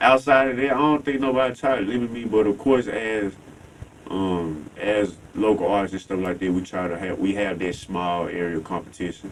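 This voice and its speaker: A man's fairly low voice with an American accent, at a moderate pace with ordinary pitch variation, over noticeable background noise. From Tennessee, Fayette County. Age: 20s. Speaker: rap artist. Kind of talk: interview.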